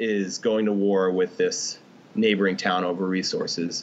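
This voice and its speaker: There is noticeable background noise behind a man speaking. His pitch is fairly low and his intonation fairly even. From grew up in Pakistan. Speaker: former Army Ranger and writer. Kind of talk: casual interview chat.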